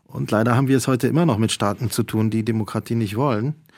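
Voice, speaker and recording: A man's voice sits fairly low. It varies in pitch an ordinary amount. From Poland. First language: Polish (speaking German). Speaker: cultural manager and journalist. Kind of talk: radio interview. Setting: remote line from a university radio studio.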